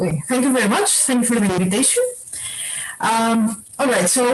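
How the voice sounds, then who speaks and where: There is noticeable noise in the background. A woman's voice rises and falls with ordinary variation. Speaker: physicist. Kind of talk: lecture. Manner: loud. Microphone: echo.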